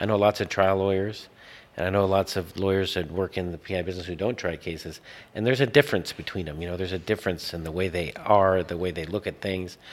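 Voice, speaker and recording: A man with an American accent talks at a very fast pace. His pitch is very deep and low, and his intonation is fairly even. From Los Angeles, US. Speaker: lawyer, law firm owner. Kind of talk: casual interview chat.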